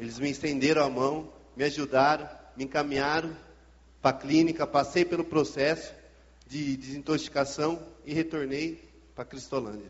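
A man speaks at a fairly high pitch. His speech has long, frequent pauses. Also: fairly even intonation, moderate pace. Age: 20s. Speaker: former drug user. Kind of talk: testimony. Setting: church service.

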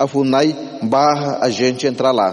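A man with an Amazonian accent at a fairly slow pace, amid noticeable background noise. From Ticuna people, Amazonas, Brazil. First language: Ticuna (speaking Portuguese). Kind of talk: church talk.

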